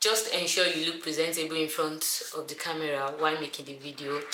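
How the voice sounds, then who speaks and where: Over noticeable background noise and audible room echo, a woman speaks in a very deep, low pitch with flat, monotone intonation. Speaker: YouTuber. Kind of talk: tutorial. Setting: indoors, alone in a room. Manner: fast.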